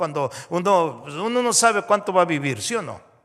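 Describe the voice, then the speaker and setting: A man speaks in a raised, projected voice. His pitch is high and his pace moderate. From Mexico. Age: 60s. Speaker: pastor. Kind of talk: sermon.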